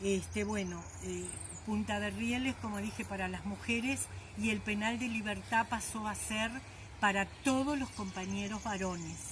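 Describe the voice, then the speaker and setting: Somewhat slow speech from a woman in a room with audible echo. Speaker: former political prisoner. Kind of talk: testimony. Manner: halting.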